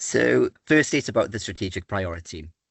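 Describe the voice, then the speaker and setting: A man with a British accent. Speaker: statistics presenter. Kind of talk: webinar presentation.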